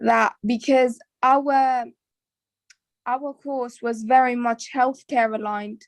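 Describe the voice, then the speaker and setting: In a non-native accent, a woman speaks at a very slow pace with a high pitch, monotone, flat intonation and long, frequent pauses. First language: not English. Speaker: biomedical science student. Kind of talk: casual interview.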